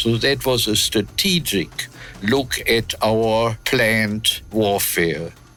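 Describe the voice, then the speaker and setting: Over music in the background, a man speaks at a very slow pace with very even loudness. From Germany. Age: 80s+. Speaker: war veteran. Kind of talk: interview answer.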